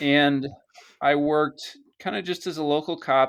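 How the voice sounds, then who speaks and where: Fairly even intonation marks a man's voice on a very clean recording with a silent background. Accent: American. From United States. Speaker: retired police officer, bitcoin hardware developer. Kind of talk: podcast interview. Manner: halting, many fillers.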